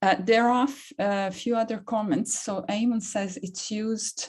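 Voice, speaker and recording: The speaker has a Serbian accent and a somewhat breathy voice. The pace is moderate, with ordinary pitch variation. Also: woman. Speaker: academic, seminar moderator. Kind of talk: seminar Q&A discussion.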